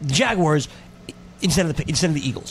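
A man's voice amid noticeable background noise. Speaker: radio host. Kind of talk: sports radio banter. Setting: studio. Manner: quick, bantering, jokey.

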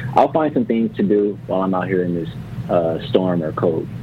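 With an American accent and a very deep, low pitch, a man talks at a fairly quick pace against noticeable background noise. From Los Angeles. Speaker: NBA betting analyst. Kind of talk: radio interview.

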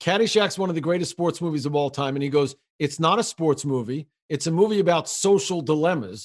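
Lively intonation marks a man's unremarkable speaking voice, pitched fairly high. He talks at a fairly quick pace. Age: 50s. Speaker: podcast host. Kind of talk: casual interview.

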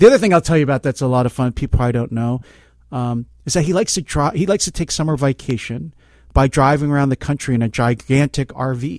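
On a very clean recording with a silent background and a dry, close sound with no echo, a man speaks very fast at a medium pitch with ordinary pitch variation. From Philadelphia, US. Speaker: law professor. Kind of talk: interview.

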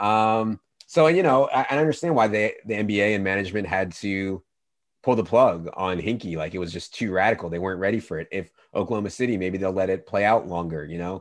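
In a normal speaking voice with an American accent, a man talks at a fairly quick pace and fairly low pitch, with ordinary pitch variation over a quiet background. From Virginia. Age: 30s. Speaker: fantasy sports analyst. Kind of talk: casual chat.

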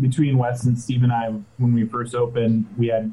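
Speaking at a moderate pace, a man with an American accent holds a medium pitch in a monotone, flat intonation. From Orange County, California. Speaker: brewery co-founder. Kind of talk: casual interview. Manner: halting, many fillers.

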